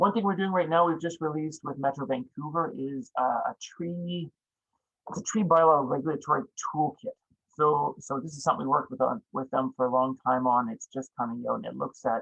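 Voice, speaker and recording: A man speaks fairly fast. Pitch varies in an ordinary way. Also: fairly high pitch for a man. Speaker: urban forestry consultant. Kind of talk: presentation. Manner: halting.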